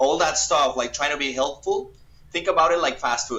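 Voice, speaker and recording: This is a man speaking. He has a Colombian accent. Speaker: paintball player. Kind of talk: podcast interview.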